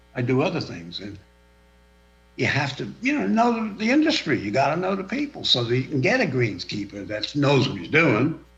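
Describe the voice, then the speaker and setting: This man talks at a fairly quick pace in a fairly high pitch, with very wide pitch swings and vocal fry. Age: 80s+. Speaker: golf course owner. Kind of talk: public meeting testimony. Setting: video call.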